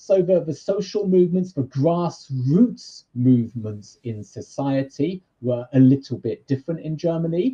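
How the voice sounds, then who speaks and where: A man's high-pitched voice in a British accent. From Britain. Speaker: university lecturer in social work. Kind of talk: lecture.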